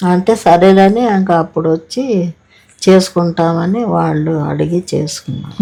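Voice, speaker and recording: Ordinary pitch variation runs through the speech. The voice has a dark, mellow tone. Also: woman, fairly low pitch for a woman. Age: old. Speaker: grandmother recalling her life. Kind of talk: interview answer.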